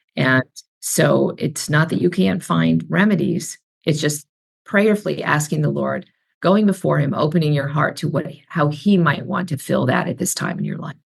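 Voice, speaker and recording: A woman's very deep, low pitch with vocal fry and ordinary pitch variation. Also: moderate pace. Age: 60s. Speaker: author and speaker. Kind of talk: podcast interview.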